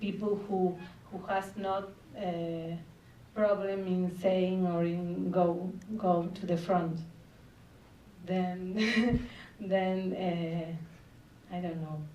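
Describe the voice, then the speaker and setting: A woman talks at a very slow pace in a medium pitch, leaving long, frequent pauses. Her intonation is monotone and flat, and room echo is audible. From Argentina. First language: Spanish. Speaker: film director. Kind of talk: festival Q&A. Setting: stage with audience. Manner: halting.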